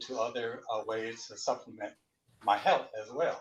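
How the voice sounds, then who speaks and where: Male speech at a moderate pace, its pitch varying in an ordinary way. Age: 60s. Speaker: retired network technician. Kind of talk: guest interview. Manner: halting.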